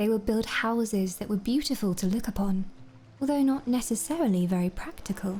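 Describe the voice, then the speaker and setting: A woman speaks at a fairly quick pace in a normal speaking voice. Her fairly high pitch moves with ordinary variation. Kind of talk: lore book reading, bedtime story ASMR. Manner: soft-spoken, calm.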